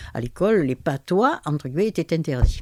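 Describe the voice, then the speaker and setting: Her voice sits very deep and low for a woman, swinging very widely in pitch at a moderate pace, captured in a very clean recording with a silent background and a dry, close sound with no echo. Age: 80s+. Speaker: retired linguist and author. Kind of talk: interview testimony. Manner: halting, with many hesitations.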